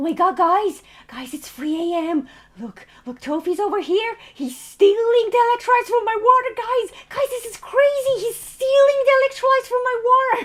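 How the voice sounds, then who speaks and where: An extremely high-pitched, put-on character voice delivers its lines at a moderate pace. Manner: spooky, breathless, excited.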